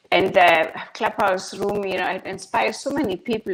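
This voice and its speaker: A woman speaks at a moderate pace with a German accent, her pitch medium. Noticeable background noise runs behind her. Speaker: guest from an online audio chat room. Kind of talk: casual chat.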